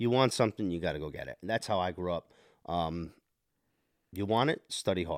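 With an American accent, a man with a very deep, low pitch speaks at a fairly quick pace with long, frequent pauses, on a very clean, silent, dry and close recording with no echo. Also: ordinary pitch variation. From New Jersey, Monmouth County. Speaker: podcast guest, parent and hockey player. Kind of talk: casual interview chat.

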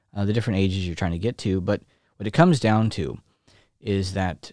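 Recorded very cleanly against a silent background, a man talks at a fairly quick pace with ordinary pitch variation. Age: 30s. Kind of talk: solo religious talk broadcast. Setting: live webcast. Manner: hesitant with many fillers.

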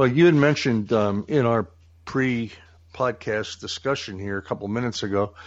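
This man has a plain, everyday voice at medium pitch. He keeps a moderate pace with ordinary pitch variation. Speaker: podcast host. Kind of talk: casual chat.

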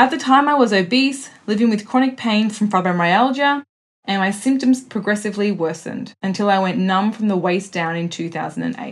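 Somewhat breathy, a woman's voice sits at medium pitch. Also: ordinary pitch variation, moderate pace. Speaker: podcast host. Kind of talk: interview.

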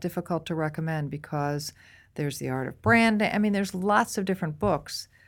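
An unremarkable speaking voice with an American accent, at a fairly quick pace with ordinary pitch variation, on a very clean recording with a silent background. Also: woman. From US Northeast, near Boston. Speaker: marketing executive. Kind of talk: interview.

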